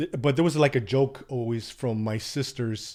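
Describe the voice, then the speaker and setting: Medium-pitched man's voice in an American accent, moderate in pace, on a very clean recording with a silent background. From US West Coast (Gilroy, California). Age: 60s. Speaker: adoptee telling his life story. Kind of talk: podcast interview testimony.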